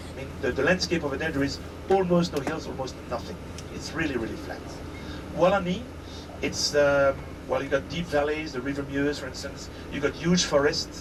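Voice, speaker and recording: A man talks at a fairly quick pace with fairly high pitch, ordinary pitch variation and long, frequent pauses, with audible room echo and noticeable background noise. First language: French. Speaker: tour guide. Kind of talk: guided tour talk. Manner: halting.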